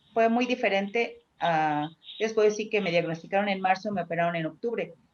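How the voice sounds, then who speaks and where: At a fairly quick pace, a woman speaks with medium pitch. Her pitch varies in an ordinary way. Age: 60s. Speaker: cancer patient. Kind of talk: testimony. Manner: halting.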